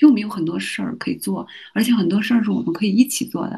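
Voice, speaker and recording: A woman speaks at a very fast pace in a medium pitch, her tone dark and mellow and somewhat breathy. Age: 30s. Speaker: university teacher and mother. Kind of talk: casual interview.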